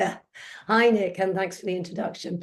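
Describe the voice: A woman keeps her intonation fairly even while talking at a fairly slow pace. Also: medium pitch for a woman.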